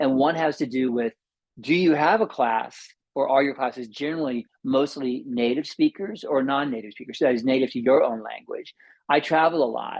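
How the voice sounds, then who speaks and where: With an American accent, a man talks at a fairly quick pace, his fairly high pitch moving with ordinary variation. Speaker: yoga teacher. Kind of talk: lecture. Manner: fast.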